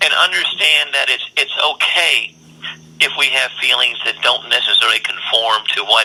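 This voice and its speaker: Speech comes at a moderate pace. Noticeable background noise is present. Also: man. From US South, Durham, North Carolina. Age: 60s. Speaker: state senator. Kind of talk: interview. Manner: frequent hesitations and repetitions.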